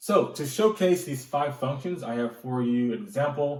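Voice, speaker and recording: This male voice is pitched in the medium range and is somewhat breathy. Its pitch varies in an ordinary way. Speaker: band director and music arranger. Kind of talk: tutorial. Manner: occasional stammering.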